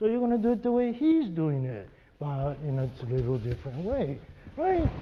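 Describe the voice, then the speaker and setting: Very wide pitch swings from a male speaker at a moderate pace. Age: 70s. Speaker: aikido teacher. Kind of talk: martial arts seminar instruction. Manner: frequent 'right?' tag questions.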